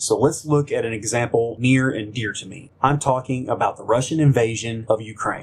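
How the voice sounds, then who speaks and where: At a moderate pace, a man with an American accent uses a normal speaking voice, medium in pitch, with fairly even intonation. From United States. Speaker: combat veteran. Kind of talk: political commentary monologue.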